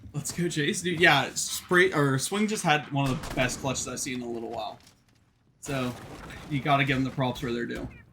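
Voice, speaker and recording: Noticeable background noise sits behind a man speaking at a fairly quick pace. His pitch is fairly high, with ordinary variation. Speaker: esports caster. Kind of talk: live commentary. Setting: live stream. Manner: casual, conversational.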